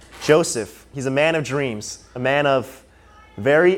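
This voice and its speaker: Noticeable background noise sits under a man whose pitch varies in an ordinary way. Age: 20s. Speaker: preacher. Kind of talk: sermon. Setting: church service, live.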